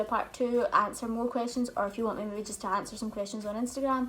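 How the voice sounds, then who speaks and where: A fairly high-pitched woman with a Scottish accent, very fast and flat, monotone in intonation. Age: 20s. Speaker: YouTuber. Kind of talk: casual chat.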